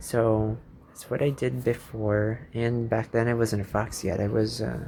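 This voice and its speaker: With a Filipino accent, a man talks at a fairly slow pace in a medium pitch and a dark, mellow tone. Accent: own accent noted, Filipino-English. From Philippines. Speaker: YouTuber. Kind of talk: casual vlog monologue, unscripted. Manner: rambling, hesitant with fillers.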